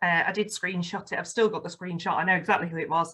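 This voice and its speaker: Speaking in a Yorkshire accent, a woman uses a bright, sharp tone at a fairly low pitch, with monotone, flat intonation. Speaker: football fan and campaign ambassador. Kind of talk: podcast interview, personal testimony. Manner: articulate, radio-trained delivery.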